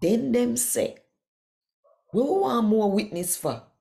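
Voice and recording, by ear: Speaking at a slow pace, a woman has a fairly high pitch, a dark, mellow tone, vocal fry and lively intonation.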